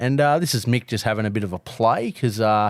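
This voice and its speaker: With an Australian accent, a man talks at a fairly quick pace in a fairly low pitch with ordinary pitch variation, on a very clean recording with a silent background. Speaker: barbecue podcast co-host. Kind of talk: casual chat.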